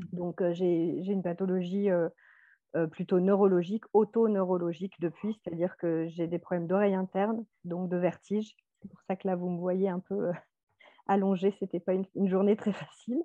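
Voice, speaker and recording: A woman speaks at a medium pitch with flat, monotone intonation. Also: moderate pace. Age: 40s. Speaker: nurse. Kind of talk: testimony.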